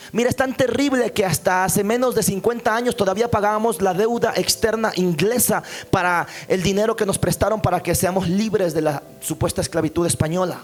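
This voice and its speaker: With music in the background, a man talks at a high pitch with very even loudness and hardly any pauses. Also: ordinary pitch variation, fairly quick pace. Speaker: pastor. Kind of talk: sermon. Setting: church. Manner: fast.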